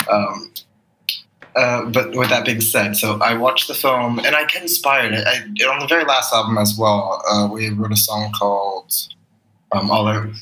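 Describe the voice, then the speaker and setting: A man talks at a moderate pace with an American accent, his pitch medium and varying in an ordinary way. It is an unremarkable speaking voice. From US West Coast, Los Angeles. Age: 20s. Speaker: musician. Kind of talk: casual interview.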